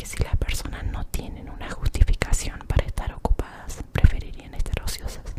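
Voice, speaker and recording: A woman whispering at a moderate pace over noticeable background noise. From Argentina. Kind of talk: ASMR reading. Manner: whispered.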